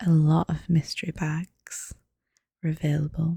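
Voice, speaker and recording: Soft-spoken and somewhat breathy, a woman talks at a fairly slow pace in a fairly low pitch with a dark, mellow tone, recorded dry and close with no echo. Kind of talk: ASMR soft-spoken voiceover walkthrough. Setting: voiceover recorded over footage.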